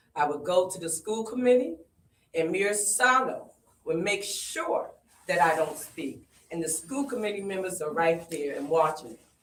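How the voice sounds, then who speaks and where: At a moderate pace, a woman speaks at medium pitch with lively intonation and big swings in loudness, with audible room echo around her. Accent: American. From Springfield, Massachusetts. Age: 60s. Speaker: community activist. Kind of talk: public comment at community forum.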